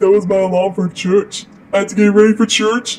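A cartoonish character voice at a middle pitch. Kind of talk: comic overacting. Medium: puppet show. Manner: goofy, scheming, self-congratulatory.

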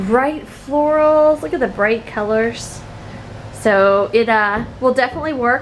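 The speech moves at a fairly slow pace with lively intonation. Light background noise can be heard. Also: woman. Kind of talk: casual vlog chat. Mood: upbeat, joking. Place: home room. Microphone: phone near.

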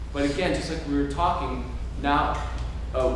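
A man's monotone, flat delivery comes through strong room echo and noticeable background noise. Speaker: workshop facilitator. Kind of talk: workshop instruction. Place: hall. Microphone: camera far.

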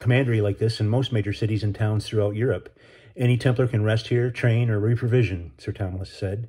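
A natural reading voice carries fairly even intonation throughout.

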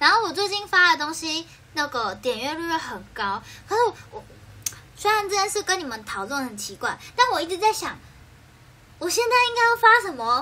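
An extremely high-pitched woman speaks in a raised, projected voice at a moderate pace, animated in tone, with very wide pitch swings, big shifts in loudness and long, frequent pauses. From Taiwan, Keelung; Taiwan. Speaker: idol livestreamer. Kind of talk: casual livestream chat. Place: home room. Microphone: phone near.

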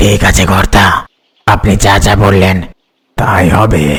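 A raspy, cartoonish character voice speaks at a moderate pace in a monotone, flat delivery. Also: man, fairly low pitch for a man. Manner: deferential, calls master sir.

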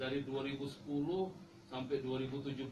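A man is speaking, his pitch moving the usual amount. Clear background noise runs behind him. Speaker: guest. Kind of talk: interview answer. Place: studio.

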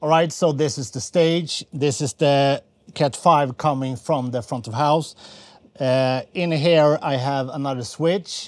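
A man's very slow speech, with ordinary pitch variation and a dry sound with no echo. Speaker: audio engineer host. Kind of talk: tutorial. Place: studio.

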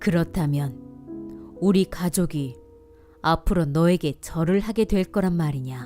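Music plays behind a woman with a gentle tone and a very deep, low pitch. She speaks at a very slow pace. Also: lively intonation. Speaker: voice actor. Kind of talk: bedtime Bible story reading for children. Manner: soft-spoken, gentle.

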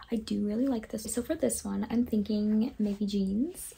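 Soft-spoken and somewhat breathy, the voice has a dark, mellow tone, ordinary pitch variation and a moderate pace. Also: woman. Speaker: fashion content creator. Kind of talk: casual talk to camera. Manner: soft, low volume.

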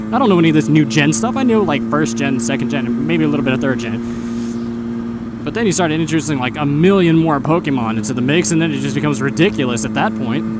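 Amid loud background noise, a man talks at a very fast pace with hardly any pauses, the sound dry with no echo. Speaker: motovlogger. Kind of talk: casual vlog chat. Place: motorbike. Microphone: helmet.

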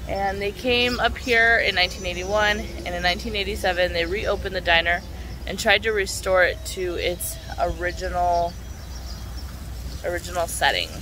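A woman speaks at a moderate pace over light background noise, the sound dry with no echo. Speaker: travel vlogger. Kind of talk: casual vlog chat. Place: garden. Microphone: phone near.

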